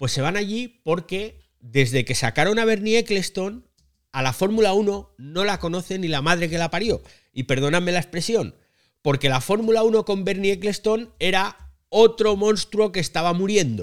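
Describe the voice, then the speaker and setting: A man's voice sits high. The intonation rises and falls in a lively way. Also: moderate pace. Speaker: podcast host. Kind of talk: casual chat. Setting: live recording via online audio room.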